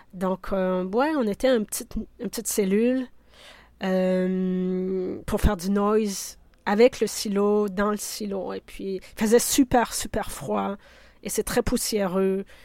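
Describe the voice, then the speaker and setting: A woman speaks at a very slow pace in a medium pitch, her tone dark and mellow and her intonation fairly even, on a very clean recording with a silent background. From Quebec (Abitibi, then Rivière-du-Loup). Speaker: curator and sound artist. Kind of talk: interview.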